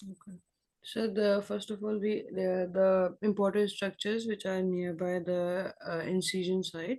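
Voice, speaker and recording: This quiet voice has a dark, mellow tone and moves at a moderate pace. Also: woman. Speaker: surgical resident presenting a case. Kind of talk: case discussion exam. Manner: quiet, too low; halting, many fillers.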